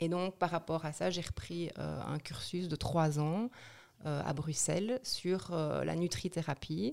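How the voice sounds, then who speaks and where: A woman's fairly low voice with vocal fry, very slow pace and ordinary pitch variation. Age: 40s. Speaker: nutrition therapist. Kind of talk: interview.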